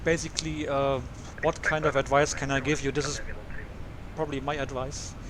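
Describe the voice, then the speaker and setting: Over noticeable background noise, a man talks at a fairly quick pace. He leaves long, frequent pauses. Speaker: airline pilot and flight sim streamer. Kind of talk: live stream commentary. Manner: fast.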